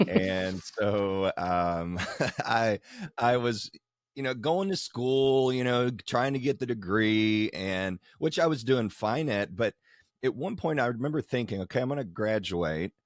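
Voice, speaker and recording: Speaking at a medium pitch with a Kentucky accent, a man sounds enthusiastic, using lively intonation at a fairly slow pace in a dry, close sound with no echo. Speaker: wedding photographer and educator. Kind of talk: casual interview.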